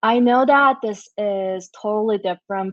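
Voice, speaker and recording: With an ordinary speaking voice, a woman talks at a fairly slow pace in a medium pitch with ordinary pitch variation. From South Korea (Seoul), moved to US at 11. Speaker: startup founder. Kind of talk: pitch presentation.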